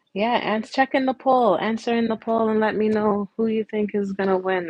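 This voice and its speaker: A woman speaks softly in a relaxed tone. Her pace is moderate and her pitch variation ordinary. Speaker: nail art livestreamer. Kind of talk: casual livestream chat. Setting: home livestream. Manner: soft-spoken.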